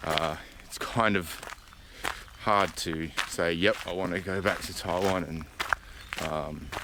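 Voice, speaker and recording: Over noticeable background noise, a man with an Australian accent speaks at a very slow pace, his very deep, low voice keeping a fairly even intonation. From Australia, Adelaide. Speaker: vlogger. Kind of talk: casual vlog monologue. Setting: outdoors on a hiking trail.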